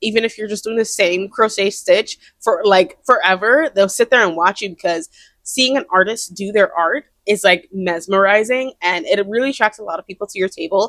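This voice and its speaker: Barely pausing, a woman speaks at a fairly quick pace and medium pitch, with ordinary pitch variation and big swings in loudness, in a very clean recording with a silent background. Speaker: crochet artist and vlogger. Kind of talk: casual vlog talk to camera. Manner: loud, projects voice; fast, chatty with many fillers. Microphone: brand new mic.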